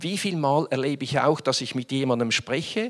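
A man speaks at a fairly quick pace on a very clean recording with a silent background. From Switzerland, Winterthur. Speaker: business executive. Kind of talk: conference talk. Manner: hesitant, many fillers.

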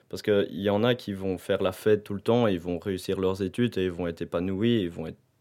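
A man in a normal speaking voice, with ordinary pitch variation. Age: 20s. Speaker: university student. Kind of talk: casual chat.

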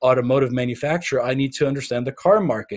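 A man talks with a German accent at medium pitch. His intonation is fairly even. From Bavaria, Germany. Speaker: business consultant. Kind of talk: podcast interview.

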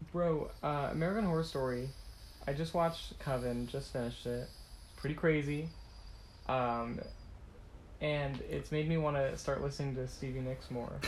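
Pausing long and often, a man speaks in a somewhat breathy voice with a fairly high pitch. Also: ordinary pitch variation, moderate pace. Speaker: podcast co-host. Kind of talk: casual chat. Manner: animated, jokey.

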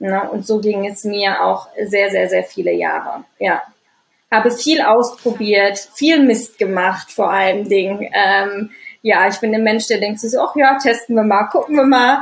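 This woman's voice sits fairly high and carries vocal fry. Her pitch varies in an ordinary way. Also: fairly slow pace. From Düsseldorf, Germany. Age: 30s. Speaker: anxiety and stress coach. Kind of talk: interview, personal life story. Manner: many filler sounds, hesitant.

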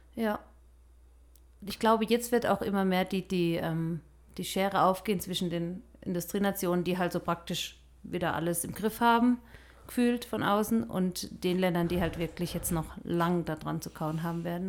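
Fairly low in pitch, a woman speaks at a moderate pace. Her intonation stays fairly even. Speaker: missionary podcast co-host. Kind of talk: casual chat.

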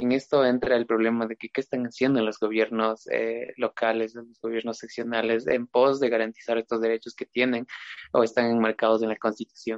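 Monotone and flat, a man talks at a fairly quick pace with a medium pitch. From Ecuador, Chimborazo province. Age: young. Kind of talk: casual chat.

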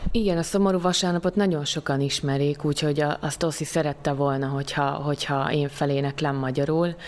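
Over noticeable background noise, a woman with a very deep, low voice talks at a fairly quick pace with hardly any pauses and very even loudness. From southern Slovakia (Hungarian minority, Szőgyén). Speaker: stage actress. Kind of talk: interview. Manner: hesitant, many fillers.

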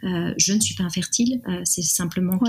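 A woman talks at a medium pitch and moderate pace. Her voice is somewhat breathy. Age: 30s. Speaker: art director sharing a fertility story. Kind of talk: personal testimony interview. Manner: hesitant, many fillers.

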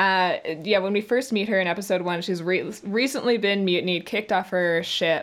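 A woman with medium pitch and ordinary pitch variation speaks in an unremarkable speaking voice. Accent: Canadian. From Canada. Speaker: voice actress. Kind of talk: casual interview chat. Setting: video call.

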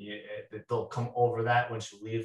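This man's voice is somewhat breathy, with an American accent. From Rhode Island, US. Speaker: deacon and demonologist.

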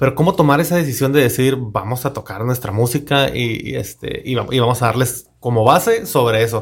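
At a fairly quick pace, a man talks in a somewhat breathy, medium-pitched voice with ordinary pitch variation. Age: 30s. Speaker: podcast host. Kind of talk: casual interview chat.

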